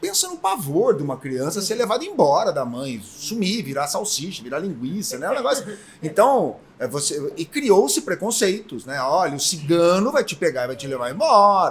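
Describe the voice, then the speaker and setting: With noticeable background noise behind it, this voice moves at a moderate pace with hardly any pauses, big swings in loudness and very wide pitch swings. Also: man, high pitch for a man. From São Paulo state, Brazil (Botucatu). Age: 60s. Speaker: folklore association president, engineer. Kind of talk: podcast interview.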